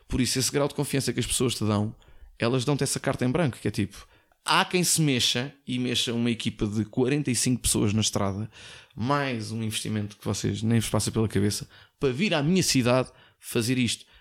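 Over a very clean recording with a silent background, a man in a plain, everyday voice talks fairly quickly at medium pitch with ordinary pitch variation. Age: 40s. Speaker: former radio host. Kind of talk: casual chat.

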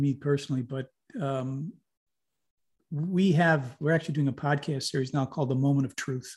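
A man with an American accent speaks at a moderate pace and a fairly high pitch, somewhat breathy, with ordinary pitch variation. The recording is very clean and the background silent. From upstate New York. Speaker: community development organisation co-founder. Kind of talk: interview.

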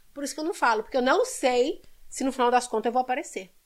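A woman talks at a very fast pace. Her voice is high in pitch. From Brazil, Belo Horizonte (Minas Gerais). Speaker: actress and model. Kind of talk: casual chat.

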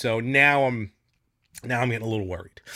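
In a very clean recording with a silent background, a man talks at a fairly quick pace in an animated tone that is bright and sharp. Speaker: podcast host. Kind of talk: casual chat.

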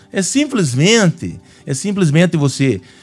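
A man talks with a high pitch. His pitch swings are very wide. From Paraná, Brazil (Curitiba). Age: 50s. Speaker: retired military police officer and mayoral candidate. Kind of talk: radio interview. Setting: radio studio. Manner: halting, many fillers and repetitions.

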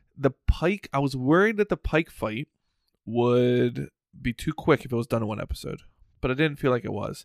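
In a normal speaking voice, a man of medium pitch talks at a moderate pace with lively intonation, the sound dry and close with no echo. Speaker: podcast host. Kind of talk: casual chat. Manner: casual, laid-back.

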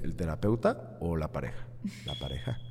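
A man's very deep, low voice with a dark, mellow tone, vocal fry and very wide pitch swings, at a moderate pace. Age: 30s. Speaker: sports psychologist and coach. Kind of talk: interview, expert advice.

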